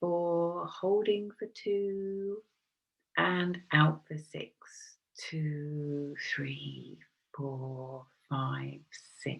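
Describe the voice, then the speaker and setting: The speech moves at a very slow pace. It is soft-spoken. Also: woman. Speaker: Reiki practitioner. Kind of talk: guided meditation; casual talk to camera. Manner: hesitant, many fillers.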